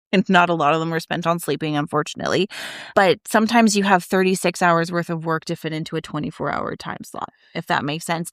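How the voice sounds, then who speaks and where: A woman speaks with an ordinary speaking voice, fairly low in pitch, with fairly even intonation. The recording is very clean with a silent background, and the sound is dry and close with no echo. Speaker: mother and school co-founder. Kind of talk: conversational podcast talk.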